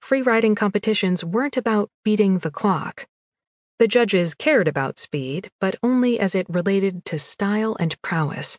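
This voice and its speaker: Animated and with lively intonation, a woman speaks at a moderate pace and medium pitch in a dry, close sound with no echo. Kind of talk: dramatic audiobook narration of a romance novel. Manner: tense, breathless, building momentum in the action scenes; animated, expressive, slipping into the heroine's inner voice.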